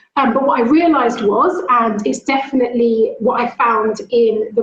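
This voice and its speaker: The woman is loud, high-pitched and full of lively intonation. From London, England. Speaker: school leader. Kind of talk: talk. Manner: fast.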